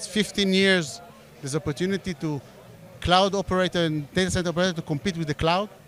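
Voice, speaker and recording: A man talks very fast in a high voice with an Israeli accent. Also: fairly even intonation. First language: Hebrew. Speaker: startup CEO. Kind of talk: interview. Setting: event in Tel Aviv. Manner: halting.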